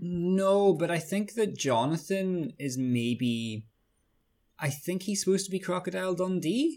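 A high-pitched man with an Irish accent, speaking at a fairly slow pace with lively intonation. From Ireland, small town. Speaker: podcast co-host discussing a TV series. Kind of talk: casual chat.

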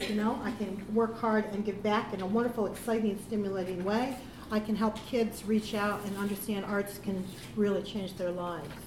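A woman with an American accent speaks at a moderate pace and a medium pitch. Her intonation is monotone and flat, with noticeable background noise. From United States. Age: 50s. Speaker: panel moderator. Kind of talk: panel discussion. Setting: stage with audience.

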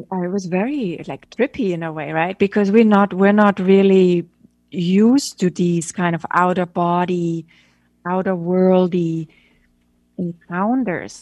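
Against a quiet background, a woman with an unremarkable speaking voice talks fairly slowly at a medium pitch with ordinary pitch variation. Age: middle-aged. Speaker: photographer and director. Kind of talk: interview.

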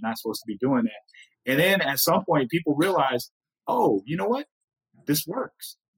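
A man with an ordinary speaking voice talks at a moderate pace with lively intonation, recorded with a dry, close sound and no echo. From Blackfeet, northern Montana plains. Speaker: podcast host and lawyer. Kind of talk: casual chat.

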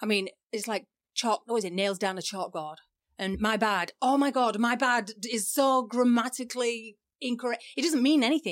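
Talking at a moderate pace, a woman has a fairly high pitch with ordinary variation. She speaks with an English accent. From England. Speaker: photographer and podcast co-host. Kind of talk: casual chat.

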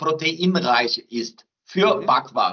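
Lively intonation runs through a man's high-pitched voice. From southern Brazil. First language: Portuguese (speaking German). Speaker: research centre director. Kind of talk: interview.

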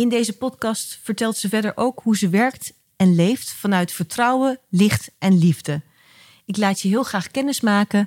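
A somewhat breathy woman speaks at a fairly slow pace on a very clean recording with a silent background and a dry, close sound with no echo. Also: medium pitch for a woman, ordinary pitch variation. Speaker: podcast host. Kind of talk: interview, calm conversation.

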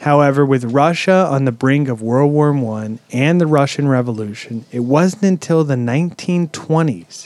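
At a fairly slow pace, a man with a fairly high pitch speaks with lively intonation. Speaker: podcast host. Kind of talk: casual chat. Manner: animated.

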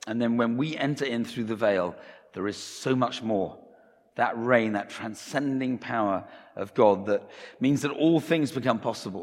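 A man speaks in an ordinary speaking voice at a medium pitch and moderate pace, with ordinary pitch variation. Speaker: preacher. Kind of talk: sermon. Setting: church.

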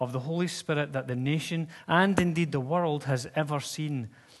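Against a quiet background, a man with an unremarkable speaking voice talks at a moderate pace, his pitch fairly high with ordinary variation. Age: 50s. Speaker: pastor. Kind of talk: sermon. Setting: church. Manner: casual, conversational.

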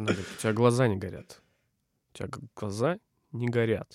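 The recording of this man's medium-pitched voice is dry and close with no echo. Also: very clean recording, silent background. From Novosibirsk, Siberia (Akademgorodok). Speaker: bio-industry businessman, former teacher and biologist. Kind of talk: casual interview.

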